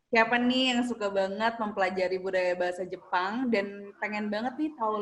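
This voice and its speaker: Speaking at a moderate pace, a woman with a plain, everyday voice sits fairly high in pitch and shows ordinary pitch variation. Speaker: university student host. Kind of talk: casual talk show hosting.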